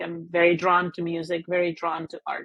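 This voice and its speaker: Speaking at a fairly slow pace, a woman with a Spanish accent has a fairly low pitch. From Mexico. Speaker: business executive. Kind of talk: interview. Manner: hesitant, many fillers and repeats.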